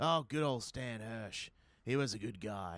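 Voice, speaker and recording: A man puts on a raspy character voice at medium pitch and a moderate pace, recorded very cleanly against a silent background. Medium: audio drama. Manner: casual, offhand.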